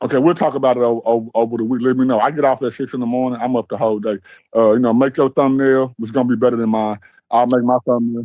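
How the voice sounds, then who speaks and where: A man speaks very fast with an American accent. His medium-pitched delivery is monotone and flat. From Texas. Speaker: livestreamer. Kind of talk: casual chat.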